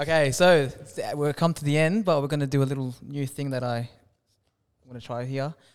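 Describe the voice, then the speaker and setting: A man's fairly high voice with an Australian accent, fairly even intonation, and a fairly quick pace, on a very clean recording with a silent background. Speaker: podcast host. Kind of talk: casual interview chat.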